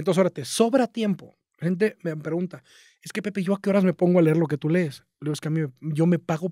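Against a quiet background, a man speaks at a fairly quick pace in a high pitch with a dark, mellow tone. The sound is dry with no echo, and his pitch varies in an ordinary way. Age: 30s. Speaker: marketing entrepreneur; podcast guest. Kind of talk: casual interview chat. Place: studio. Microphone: studio mic.

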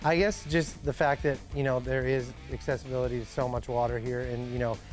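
Over clear background music, a man speaks at a fairly quick pace. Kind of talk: interview answer. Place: hall.

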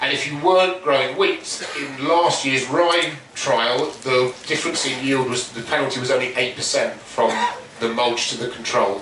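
Noticeable background noise and audible room echo surround this man. He talks at a fairly slow pace with ordinary pitch variation. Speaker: presenter. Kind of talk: talk presentation. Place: tent.

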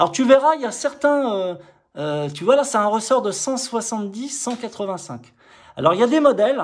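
A man's extremely high voice at a fairly slow pace, with lively intonation. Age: 50s. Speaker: motorcycle mechanic YouTuber. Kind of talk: casual vlog and bike walkthrough. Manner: hesitant, many filler words. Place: workshop. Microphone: phone near.

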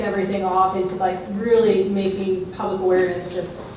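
A woman at a moderate pace, with strong room echo and light background noise. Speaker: panel moderator. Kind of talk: conference panel talk. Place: hall.

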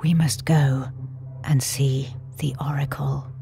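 Over clear background music, a man puts on a character voice at medium pitch and a fairly slow pace. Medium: read story. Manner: anxious, despairing.

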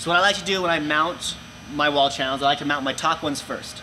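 Here a man talks at a fairly quick pace in a fairly high pitch. His tone is bright and sharp, with faint background noise.

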